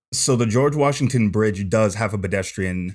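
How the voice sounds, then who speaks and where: On a very clean recording with a silent background, a man with an American accent and a plain, everyday voice speaks at a fairly quick pace, fairly low in pitch with ordinary pitch variation. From California. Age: 20s. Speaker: long-distance walker. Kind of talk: casual interview.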